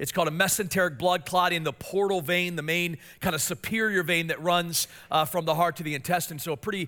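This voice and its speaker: The tone is bright and sharp, the pace fairly quick, and the recording very clean with a silent background. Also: man. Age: 40s. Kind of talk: sermon. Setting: church. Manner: fast talker.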